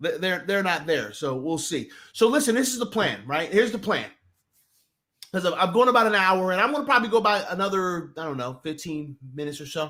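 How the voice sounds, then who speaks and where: Raised and projected, a man's high, bright, sharp voice with an American accent moves at a fairly quick pace, animated in tone and lively in intonation, on a very clean recording with a silent background. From New Jersey. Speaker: sports talk streamer. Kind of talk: casual live stream chat. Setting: live stream. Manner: animated, repetitive false starts.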